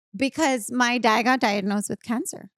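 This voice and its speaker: A woman with a Spanish accent, fairly high-pitched, fairly slow and lively in intonation, in a dry, close sound with no echo. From Nuevo Laredo, Mexico. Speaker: podcast guest. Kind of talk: casual chat.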